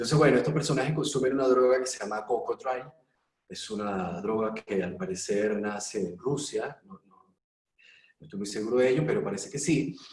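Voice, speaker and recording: A man with a normal speaking voice at medium pitch, lively intonation and big swings in loudness. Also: moderate pace. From Venezuela, Mérida. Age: 30s. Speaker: actor. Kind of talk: panel discussion.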